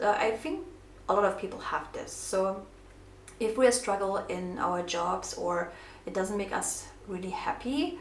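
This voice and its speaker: Heard with audible room echo, a woman with a non-native accent speaks at a fairly slow pace. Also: medium pitch for a woman, ordinary pitch variation. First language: not English. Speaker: craft vlogger. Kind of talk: casual craft tutorial with personal talk. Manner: hesitant, many fillers.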